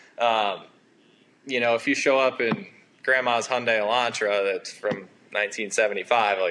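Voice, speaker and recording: A man in a New Jersey accent at medium pitch, fairly even intonation, a moderate pace with long, frequent pauses, and noticeable background noise. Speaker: excavation business owner. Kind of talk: podcast interview.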